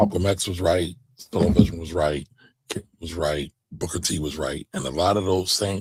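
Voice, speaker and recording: In a put-on character voice, a man speaks raspy and very deep at a moderate pace, with fairly even intonation, big swings in loudness and a dry, close sound with no echo. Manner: very fast.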